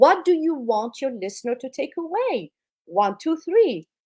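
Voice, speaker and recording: A woman speaks in a non-native accent at a moderate pace. Her voice is high-pitched with very wide pitch swings. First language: not English. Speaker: public speaking coach. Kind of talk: interview advice.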